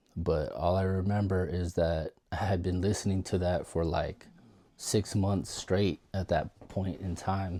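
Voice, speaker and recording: The voice is shaky, with a dark, mellow tone and monotone, flat intonation, moving at a fairly slow pace on a very clean recording with a silent background. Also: man. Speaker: DJ, former US Navy sailor. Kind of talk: casual storytelling to camera. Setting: home guest room. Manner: rambling, shaky voice.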